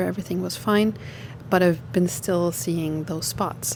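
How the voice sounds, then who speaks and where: Against noticeable background noise, a woman talks at a moderate pace with a non-native accent. Her pitch is fairly low with ordinary pitch variation. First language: not English. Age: 30s. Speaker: lifestyle vlogger. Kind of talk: personal story. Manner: hesitant, many fillers.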